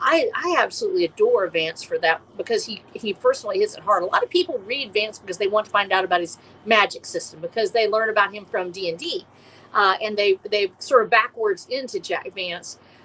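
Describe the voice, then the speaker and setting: Her fairly high voice moves at a fairly quick clip, and the woman's intonation stays lively throughout. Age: 60s. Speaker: indie post-apocalyptic author. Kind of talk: casual chat. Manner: halting.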